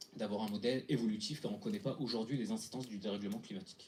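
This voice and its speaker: Very fast speech from a man at medium pitch, dark and mellow in tone, with ordinary pitch variation. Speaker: hackathon team presenter. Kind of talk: pitch presentation. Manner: halting with fillers.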